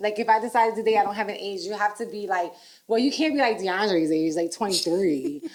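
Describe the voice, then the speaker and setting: Noticeable background noise sits behind a woman speaking at a very fast pace. Her tone is animated, with lively intonation. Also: medium pitch for a woman. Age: 40s. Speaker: podcast host. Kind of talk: casual chat.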